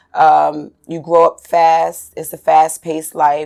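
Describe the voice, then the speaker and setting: Speaking at a very slow pace, a woman has a slight New York accent. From New York City, Staten Island. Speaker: dancer. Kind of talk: interview.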